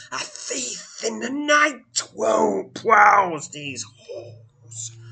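A raspy, put-on character voice drawls at a very slow pace. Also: man, high pitch for a man. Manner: growling, bitterly contemptuous.

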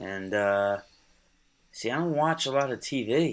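A man in an American accent talks with lively intonation. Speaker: fantasy football writer. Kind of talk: casual chat.

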